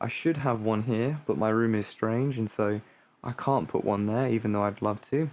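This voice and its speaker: A man's voice at a moderate pace, with very even loudness and ordinary pitch variation. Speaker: music hobbyist streamer. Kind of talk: casual vlog tutorial. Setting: home studio room. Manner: rambling, many fillers.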